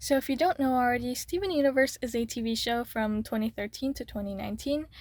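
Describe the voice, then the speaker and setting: High pitch from a woman, with ordinary pitch variation and a fairly quick pace. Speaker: YouTuber. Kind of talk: casual chat while drawing.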